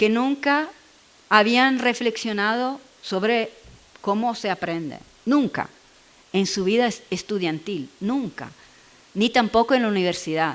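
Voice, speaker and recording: Lively intonation colors the speech. A woman talks with an Italian accent. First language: Italian (speaking Spanish). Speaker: education researcher. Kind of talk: Q&A after a seminar talk. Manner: halting, searching for words.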